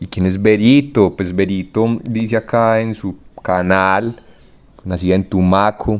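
A man speaks in a plain, everyday voice, pitched fairly low. His intonation is fairly even and his pace fairly slow. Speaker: podcast host. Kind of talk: casual chat.

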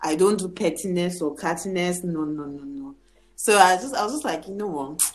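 A woman with a plain, everyday voice speaks at a fairly quick pace in a fairly low pitch, with lively intonation and big swings in loudness. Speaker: podcast host. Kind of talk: casual chat.

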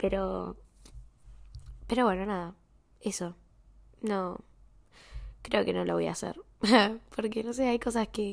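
The speaker has a Rioplatense accent. The recording is very clean, with a silent background. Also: woman. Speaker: podcaster. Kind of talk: personal diary-style monologue. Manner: halting.

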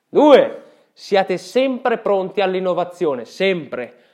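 A man speaks fairly slowly in a high pitch, with lively intonation and an animated tone. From Italy. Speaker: podcaster. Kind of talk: casual monologue.

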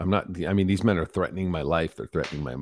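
In a very clean recording with a silent background, a man with an American accent speaks at a very deep, low pitch, using vocal fry and lively intonation. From rural Michigan, US Midwest. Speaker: motivational speaker and former prisoner. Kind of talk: interview, personal testimony.

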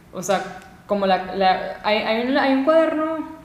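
A woman speaks fairly slowly, with audible room echo and noticeable background noise in the recording. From Venezuela. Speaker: videographer and content creator. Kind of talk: casual chat.

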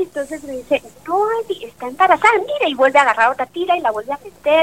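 A woman talks very fast with lively intonation in a dry, close sound with no echo. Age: 40s. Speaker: mother sharing life story. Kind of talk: testimony.

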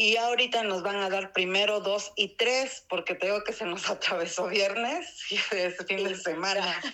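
In an Oaxacan accent, a woman speaks at a medium pitch and fairly slow pace with fairly even intonation. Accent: Mexican Spanish (Oaxaca). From Mexico, Oaxaca city. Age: 40s. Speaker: interviewee on local traditions. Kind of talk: casual interview. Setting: remote call. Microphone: poor audio.

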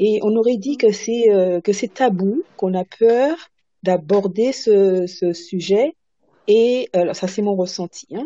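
A woman's medium pitch at a very slow pace, with ordinary pitch variation. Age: 70s. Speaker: president of a singles association. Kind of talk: panel discussion. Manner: halting.

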